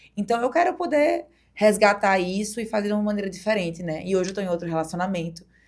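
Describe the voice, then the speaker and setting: A woman with a medium-pitched voice speaks at a very fast pace, her intonation lively. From Brazil, Paraíba (Campina Grande). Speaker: DJ and former beauty queen. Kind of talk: podcast interview. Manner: casual, conversational.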